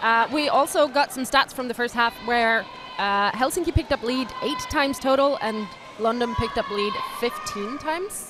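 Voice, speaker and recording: Against noticeable background noise, a woman with a slight non-native accent speaks at a high pitch and a moderate pace. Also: ordinary pitch variation. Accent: near-native English. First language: not English. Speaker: roller derby commentator. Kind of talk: live commentary.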